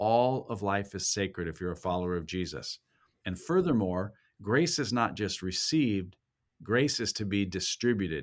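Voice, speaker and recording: On a very clean recording with a silent background, a man with a fairly low pitch and an ordinary speaking voice talks at a moderate pace with lively intonation. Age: 60s. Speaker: university president and pastor. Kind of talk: interview conversation.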